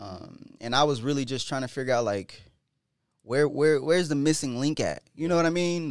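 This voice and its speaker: Ordinary pitch variation from a man, captured in a very clean recording against a silent background. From Florida and California. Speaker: real estate agent and investor. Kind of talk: casual chat.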